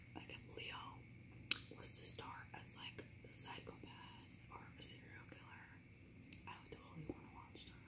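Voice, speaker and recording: Over loud background noise, a woman speaks at a moderate pace, leaving long, frequent pauses. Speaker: ASMR creator. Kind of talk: ASMR whisper talk to camera. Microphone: phone near.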